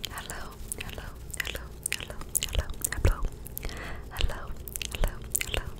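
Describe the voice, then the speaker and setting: Whispering at a fairly quick pace, a woman sounds soft-spoken and breathy. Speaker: ASMR creator. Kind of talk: ASMR soft spoken chat. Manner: soft breathy ASMR whisper close to mic. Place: home room. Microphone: studio mic.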